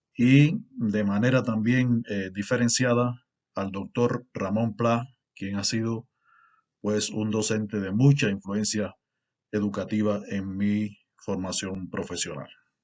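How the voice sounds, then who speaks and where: In a Cuban accent, a man speaks at a very slow pace. His pitch is fairly low and his intonation fairly even. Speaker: university lecturer and researcher. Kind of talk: conference lecture. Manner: formal, with frequent fillers.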